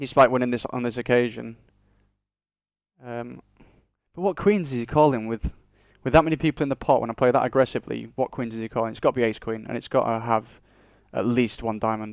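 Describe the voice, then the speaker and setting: A man with a northern English accent at a medium pitch, fairly quick yet with long, frequent pauses, fairly even intonation, and a dry, close sound with no echo. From northern England. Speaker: online poker player. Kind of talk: live commentary of own poker play. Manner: fast.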